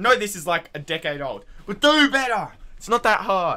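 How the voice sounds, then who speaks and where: A man with an Australian accent, high-pitched for a man, with very wide pitch swings, a bright, sharp tone and a moderate pace. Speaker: YouTuber reacting to videos. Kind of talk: casual reaction commentary. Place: home room. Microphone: headset.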